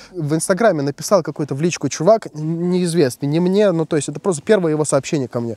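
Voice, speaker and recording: A man's dark, mellow voice at a very fast pace with hardly any pauses, ordinary pitch variation, a very clean recording with a silent background and a dry, close sound with no echo. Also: fairly high pitch for a man. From post-Soviet country, not Russia. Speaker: YouTuber, FPV drone hobby channel. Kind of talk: solo video monologue on politics. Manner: calm, casual.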